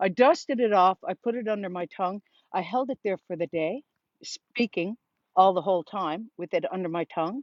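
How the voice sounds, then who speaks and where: With a Newfoundland accent, a woman speaks at a medium pitch and fairly quick pace, using ordinary pitch variation. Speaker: vlogger. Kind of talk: casual storytelling monologue.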